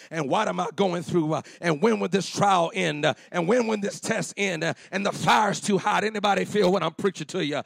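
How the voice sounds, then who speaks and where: Over noticeable background noise, a man with a high voice sounds animated, keeping a moderate pace with hardly any pauses and ordinary pitch variation. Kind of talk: sermon. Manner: animated, call-and-response preaching, urging the congregation to shout back; fervent, repetitive, building with 'come on'.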